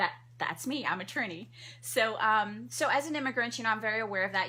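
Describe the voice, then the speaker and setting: A woman speaks at a fairly quick pace with vocal fry. Her tone is bright and sharp, and her pitch swings very widely. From Trinidad. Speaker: family physician. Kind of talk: radio interview. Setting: studio. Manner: fast.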